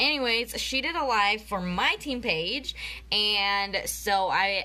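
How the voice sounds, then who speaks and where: A woman at medium pitch talks in an animated, bright, sharp tone with lively intonation and vocal fry. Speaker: network marketing presenter. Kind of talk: live video training. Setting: Facebook live video.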